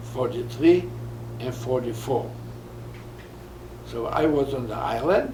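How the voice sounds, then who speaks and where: A man talks fairly slowly with long, frequent pauses, while noticeable background noise and audible room echo fill the recording. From Poland. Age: 80s+. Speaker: Holocaust survivor. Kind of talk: interview. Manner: halting.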